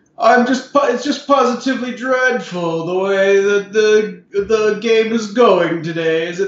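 Doing a put-on character voice, a man drawls at a very slow pace and high pitch, with slight echo. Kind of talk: posh, refined.

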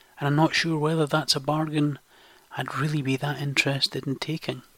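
A man with a west coast Scottish accent and a bright, sharp tone. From western Scotland. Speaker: podcast host. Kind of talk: scripted monologue.

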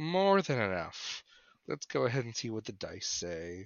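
A man with a fairly low voice and vocal fry talks at a fairly slow pace, his pitch swinging widely.

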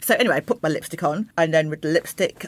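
Very fast speech comes from a woman with a London accent. Her pitch is very deep and low. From London (Croydon). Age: 50s. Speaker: interiors blogger, former fashion journalist. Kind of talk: casual interview chat.

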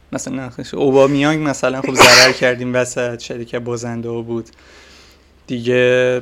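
A man speaks at a moderate pace and medium pitch. His intonation is flat and monotone, over noticeable background noise. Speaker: football podcast host. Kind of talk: casual chat.

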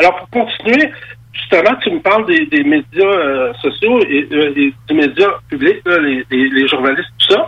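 Against noticeable background noise, a man speaks at a high pitch. His pace is fairly slow, and his pitch swings very widely. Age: 50s. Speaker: MMA promoter. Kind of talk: radio interview.

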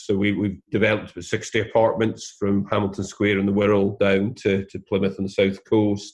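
A man speaks in a Scottish accent at a fairly low pitch. His intonation is monotone and flat. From Scotland. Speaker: property investor. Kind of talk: interview. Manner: hesitant, many fillers and repeated words.

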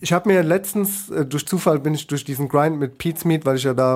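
A man speaks in a plain, everyday voice, keeping a moderate pace and ordinary pitch variation. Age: 30s. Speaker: podcast host. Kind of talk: casual chat.

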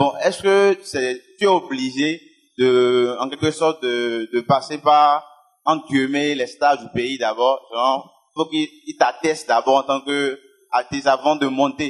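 This man speaks at a very slow pace. His pitch is fairly high, with ordinary pitch variation. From Benin. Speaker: audience member asking a question. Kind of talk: audience question.

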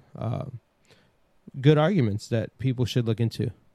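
A man with a Brooklyn accent talks at a fairly quick pace and a medium pitch. The sound is dry and close, with no echo. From New York City, Brooklyn. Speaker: podcast host. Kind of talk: casual chat.

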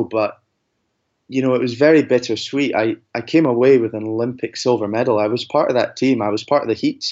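Pitched at a medium level, a man talks fairly quickly and keeps his intonation fairly even. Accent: Scottish. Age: 20s. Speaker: athlete. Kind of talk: interview.

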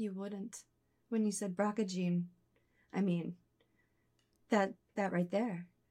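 Speaking at a very slow pace with long, frequent pauses, a woman with an American accent has a medium pitch, a dark, mellow tone, a somewhat breathy quality and flat, monotone intonation. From Philadelphia area. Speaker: reading recipient. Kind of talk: casual chat; testimony.

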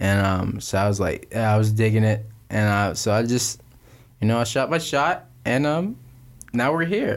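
Male speech at a medium pitch and moderate pace, an unremarkable speaking voice on a very clean recording with a silent background. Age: 20s. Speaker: podcast co-host. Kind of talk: casual chat.

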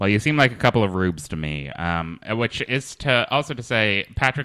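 With a bright, sharp tone, a man speaks at a moderate pace and a fairly low pitch, his voice making very wide pitch swings. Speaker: podcast host. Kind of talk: casual interview chat with comedy bits.

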